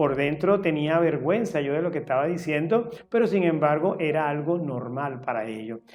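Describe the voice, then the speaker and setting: A man's lively intonation with hardly any pauses, music playing in the background. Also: fairly high pitch for a man, moderate pace. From Venezuela, Caracas. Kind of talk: interview monologue.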